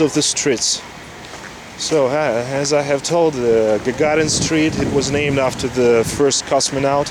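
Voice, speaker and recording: A man with a fairly high pitch speaks at a fairly slow pace amid noticeable background noise. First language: Russian. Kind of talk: casual walking-tour talk to camera. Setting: outdoors.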